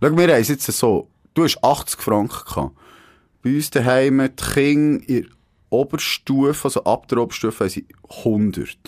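A man with fairly high pitch speaks at a moderate pace with ordinary pitch variation and long, frequent pauses. The recording is very clean, with a silent background. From Switzerland, Grenchen (canton Solothurn). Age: 30s. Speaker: podcast host, former newspaper journalist. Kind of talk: casual chat. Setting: radio studio.

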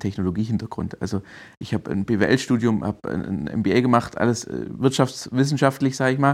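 A man with a plain, everyday voice talks at a fairly quick pace, medium in pitch with ordinary pitch variation. The recording is very clean, with a silent background. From Swabia, Germany (Heilbronn region). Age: 30s. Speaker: digital strategy consultant. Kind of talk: interview.

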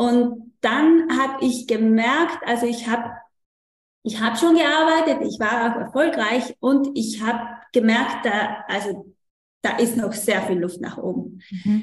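A woman's very slow speech at a fairly high pitch, with ordinary pitch variation and audible room echo. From South Tyrol, Italy. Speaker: coach for mothers. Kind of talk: interview. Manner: halting, many fillers.

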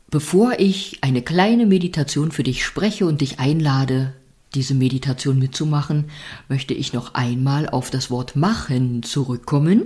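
Here is a woman's voice, somewhat breathy, with a warm, soothing tone that is also dark and mellow. Her intonation is lively. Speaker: podcast host and meditation guide. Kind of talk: guided meditation; calm spoken reflection on life. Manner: slow, soothing, gentle; warm, encouraging, intimate address.

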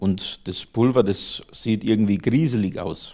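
A man speaks in a fairly low pitch with a Lower Bavarian accent. His pace is fairly slow. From Lower Bavaria, Germany. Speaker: plastics engineer, powder processing entrepreneur. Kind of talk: interview.

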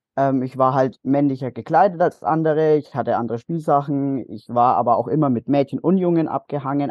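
At a moderate pace, a man with a fairly high pitch talks in an ordinary speaking voice. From Bavaria, Nuremberg (Franconia). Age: young. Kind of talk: interview testimony.

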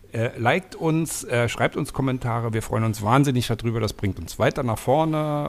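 A man's medium-pitched voice carries ordinary pitch variation and moves at a moderate speed. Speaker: travel podcast co-host. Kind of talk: casual chat. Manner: talkative.

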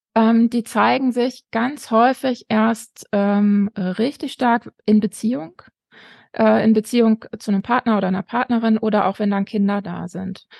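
The speech moves at a fairly slow pace with fairly even intonation. The sound is dry and close with no echo, against a quiet background. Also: woman, fairly high pitch for a woman. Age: 40s. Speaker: educator and family counselor, author. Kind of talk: interview. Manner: frequent hesitations.

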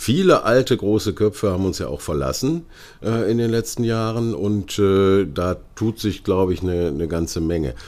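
On a very clean recording with a silent background, a man speaks at a moderate pace. His pitch sits fairly low, with lively intonation. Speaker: podcast host. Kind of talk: interview.

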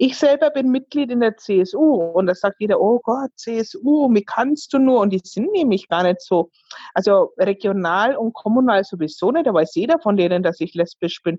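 A woman's fairly high voice at a moderate pace, with very wide pitch swings and very even loudness. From Bavaria, Fürth (Franconia). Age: 30s. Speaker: singer. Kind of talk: interview.

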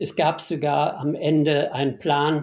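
At a very slow pace, a man talks in a fairly high, somewhat breathy voice. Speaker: former company CEO and state minister. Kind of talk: interview.

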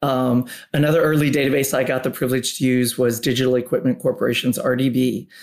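A man talks at a fairly quick pace in an ordinary speaking voice. His intonation stays fairly even. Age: 50s. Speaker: tech company executive. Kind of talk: interview.

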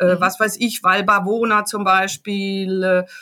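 Speaking very slowly, a woman keeps a monotone, flat intonation with a bright, sharp tone. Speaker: travel journalist and photographer. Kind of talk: casual interview. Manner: halting, many fillers.

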